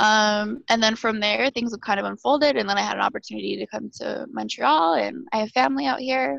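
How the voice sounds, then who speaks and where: At a fairly quick pace, a woman talks with a western Canadian accent. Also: hardly any pauses. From Alberta, western Canada. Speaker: podcast guest. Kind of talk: casual chat. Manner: animated.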